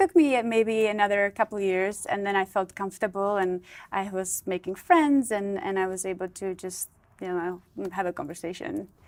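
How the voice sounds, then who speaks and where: Ordinary pitch variation and a moderate pace come through on a very clean recording with a silent background. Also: woman, medium pitch for a woman. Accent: Czech. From Czech Republic. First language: Czech. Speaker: model and former playmate. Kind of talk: interview. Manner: halting.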